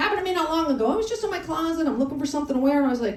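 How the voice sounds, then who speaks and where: With an American accent and a high pitch, a woman talks at a very fast pace, her pitch swinging very widely. Audible room echo and noticeable background noise fill the recording. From Colorado. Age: 60s. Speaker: stand-up comedian. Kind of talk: stand-up. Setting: comedy club on a cruise ship, live audience. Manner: animated.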